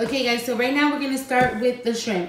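A woman is heard over loud background noise. The room echo is audible. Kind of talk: casual cooking tutorial. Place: kitchen. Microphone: camera far.

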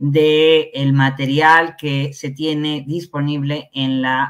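Against a quiet background, a woman speaks in a very deep, low pitch. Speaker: guest. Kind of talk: interview answer. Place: home room. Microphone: headset.

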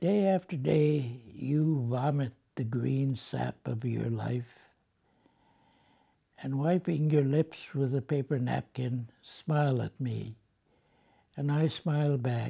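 Speaking with an American accent, a man has a somewhat breathy, dark, mellow tone and talks at a very slow pace with long, frequent pauses. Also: ordinary pitch variation, quiet background. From United States. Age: 80s+. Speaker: poet. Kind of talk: poetry reading. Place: home room.

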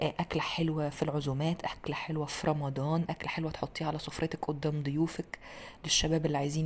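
Her pitch sits very deep and low. The woman's delivery is very fast. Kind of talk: tutorial. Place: kitchen.

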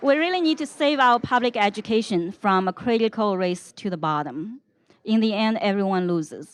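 A woman talks at a moderate pace in a non-native accent, her fairly high voice making very wide pitch swings. The background is quiet. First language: not English. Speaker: panelist. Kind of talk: panel discussion.

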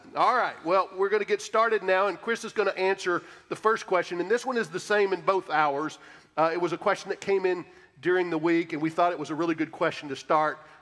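Against a quiet background, a man talks at a very fast pace in a high pitch with ordinary pitch variation. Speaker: pastor. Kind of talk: church announcements. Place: church.

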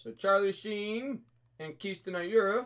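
Speech moves at a very slow pace. The pitch shows ordinary variation. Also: man. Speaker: card break host. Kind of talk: live stream commentary. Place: shop. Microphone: webcam.

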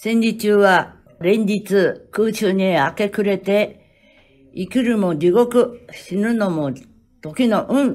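A woman talks at a very slow pace. Her pitch sits in the medium range, with ordinary variation. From Tokyo, Nippori shitamachi. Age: 90s. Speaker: war survivor. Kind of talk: reading aloud. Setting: city hall.

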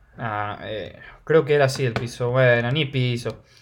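Speaking with a Rioplatense accent, a man keeps a fairly slow pace. His tone is animated, with ordinary pitch variation. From Argentina. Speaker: gaming youtuber. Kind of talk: gameplay commentary.

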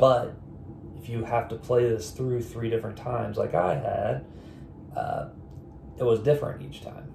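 A man at a moderate pace, with long, frequent pauses, big swings in loudness, and noticeable background noise. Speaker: board game reviewer. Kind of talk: casual talk to camera. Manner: off the cuff.

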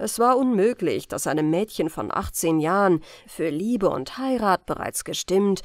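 Over a very clean recording with a silent background, a woman at medium pitch speaks at a fairly slow pace in a calm, soothing tone, her voice making very wide pitch swings. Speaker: audiobook narrator. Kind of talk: bedtime audiobook reading of a classic ghost story, scripted narration. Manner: slow, soft, calm and soothing, gentle storytelling pace.

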